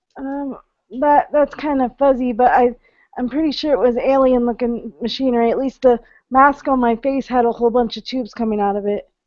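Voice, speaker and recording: Speech comes at a fairly quick pace with ordinary pitch variation. The background is quiet, and the sound is dry with no echo. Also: woman, high pitch for a woman. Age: 30s. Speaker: webinar participant. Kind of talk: casual chat. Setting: online video call. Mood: calm, recalling dream experience. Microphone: video call.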